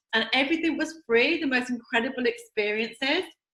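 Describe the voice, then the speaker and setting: A woman's high, raised and projected voice in an English accent, with ordinary pitch variation. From England. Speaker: network marketing distributor. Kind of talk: recorded presentation video. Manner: enthusiastic.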